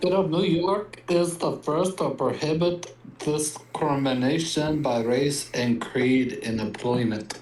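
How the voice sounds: A put-on, robotic character voice at a middle pitch moves at a fairly slow pace with hardly any pauses. Clear background noise sits behind it.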